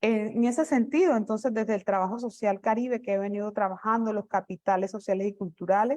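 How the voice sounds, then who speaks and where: A woman speaks with fairly high pitch and ordinary pitch variation. Her pace is fairly quick, with hardly any pauses. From Colombia, rural community. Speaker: academic speaker. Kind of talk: conference presentation. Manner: halting, repeats words.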